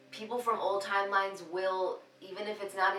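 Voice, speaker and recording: Music plays in the background as a woman speaks at a moderate pace, with audible room echo. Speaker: tarot reader. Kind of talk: tarot reading monologue. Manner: halting.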